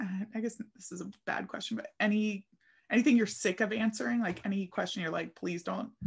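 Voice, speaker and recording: A woman with an American accent speaks at a medium pitch and a fairly quick pace, showing vocal fry and ordinary pitch variation. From Philadelphia, US. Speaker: podcast host. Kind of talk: casual chat. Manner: animated.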